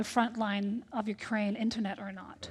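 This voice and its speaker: Speaking in monotone, flat intonation with an American accent, a woman with a fairly high pitch is heard in a very clean recording with a silent background. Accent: American-sounding English. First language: Danish. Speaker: tech ambassador, diplomat. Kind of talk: panel discussion.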